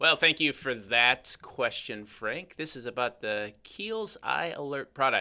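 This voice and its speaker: The man speaks with a Chicago accent at a medium pitch. His pace is fairly slow. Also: lively intonation. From US Midwest, Chicago. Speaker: podcast host, cosmetic chemist. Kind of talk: casual chat.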